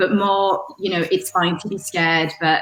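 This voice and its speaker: A woman talks with a strong Yorkshire accent and fairly even intonation. Her pace is moderate, and there is noticeable background noise. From Yorkshire, northern England. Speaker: communications manager, panel speaker. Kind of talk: panel talk.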